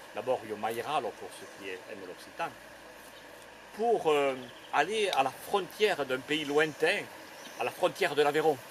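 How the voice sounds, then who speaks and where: Delivered at a fairly slow pace, this speech has long, frequent pauses, very wide pitch swings and big swings in loudness, with noticeable background noise. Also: man, fairly high pitch for a man. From Grésigne forest area, Tarn, southern France. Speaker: storyteller. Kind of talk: oral storytelling performance to live audience.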